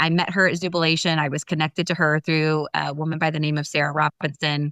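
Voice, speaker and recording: In a very clean recording with a silent background and a dry, close sound with no echo, a woman speaks at a fairly quick pace in a very deep, low pitch. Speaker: business leader. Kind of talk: interview. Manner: fast; animated.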